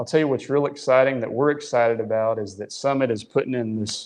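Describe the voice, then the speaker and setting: A man at medium pitch with a West Texas accent. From Midland, West Texas. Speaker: drilling superintendent. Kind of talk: casual chat.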